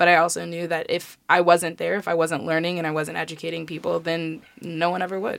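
A woman's fairly low voice with an American accent at a very fast pace. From Chicago. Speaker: college student, sorority member. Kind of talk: casual interview chat.

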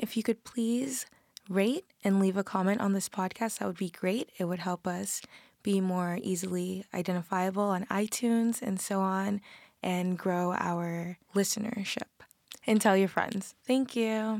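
A woman with an ordinary speaking voice, a fairly slow pace and fairly even intonation. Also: medium pitch for a woman. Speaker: podcast host and matchmaker. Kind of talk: outro. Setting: studio.

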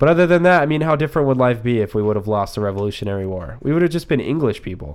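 A man speaks at a very fast pace in a medium pitch. His pitch swings very widely. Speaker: podcast co-host. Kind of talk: casual chat. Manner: loud.

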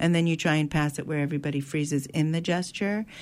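In an American accent, a woman with a very deep, low pitch talks very fast, on a very clean recording with a silent background. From US Northeast. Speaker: actor and arts educator. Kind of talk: radio interview.

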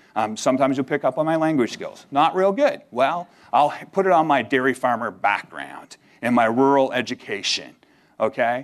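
A man talks at a moderate pace and medium pitch with ordinary pitch variation in a plain, everyday voice against a quiet background. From Canada. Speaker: seminary admissions staff and minister. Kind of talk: chapel sermon. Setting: chapel service with audience.

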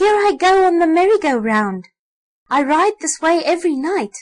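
A squeaky, put-on character voice from a woman, extremely high in pitch, at a moderate pace. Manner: delighted, squealing.

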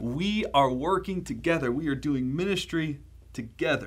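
A man with an American accent speaks at a fairly slow pace and a fairly high pitch. Audible room echo is present. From US, Baltimore, Maryland. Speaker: pastor. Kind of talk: sermon.

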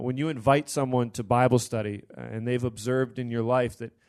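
An ordinary speaking voice with an American accent comes through with fairly even intonation against a quiet background. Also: man. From Pennsylvania, US. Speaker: seminary student and Bible study leader. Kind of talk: panel discussion.

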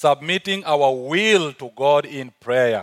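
A man speaks with an African accent in a very clean recording with a silent background, the sound dry and close without any echo. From South Sudan. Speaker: visiting preacher. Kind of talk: sermon. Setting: church stage with audience.

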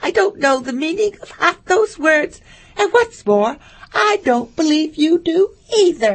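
This put-on character voice sits at an extremely high pitch. It moves at a fairly slow pace. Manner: blunt, mocking.

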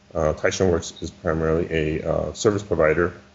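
Amid noticeable background noise, a man with a very deep, low voice speaks at a fairly slow pace. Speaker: business partner, user group organizer. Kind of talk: casual chat.

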